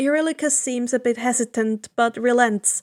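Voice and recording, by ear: At a fairly high pitch with ordinary pitch variation, a woman speaks at a moderate pace in a slightly mellow tone, the sound dry and close with no echo on a very clean recording with a silent background.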